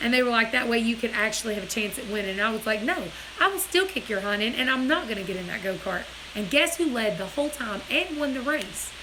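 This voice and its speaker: A woman with an American accent talks at a very fast pace in an animated tone and a fairly high pitch. Audible room echo and noticeable background noise surround her. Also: lively intonation. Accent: hillbilly. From US Deep South. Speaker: livestream host. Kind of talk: casual chat. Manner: loud.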